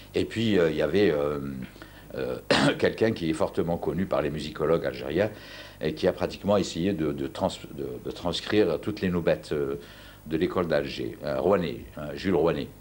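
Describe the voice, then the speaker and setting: A man talks with a very deep, low pitch and vocal fry. He leaves long, frequent pauses. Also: ordinary pitch variation, moderate pace. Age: 60s. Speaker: university professor and Andalusian music specialist. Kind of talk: TV interview. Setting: at home. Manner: halting, many repetitions.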